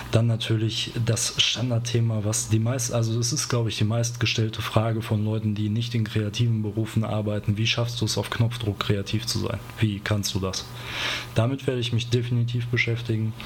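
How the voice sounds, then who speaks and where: A medium-pitched man's voice, monotone and flat at a moderate pace, with noticeable background noise. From Ruhr area, Germany. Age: 30s. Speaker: podcast host and graphic designer. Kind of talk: solo podcast monologue. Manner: casual, with frequent fillers.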